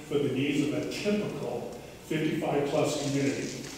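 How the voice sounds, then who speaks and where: There is strong room echo and light background noise as a man speaks. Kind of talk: presentation to residents. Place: hall. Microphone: camera far.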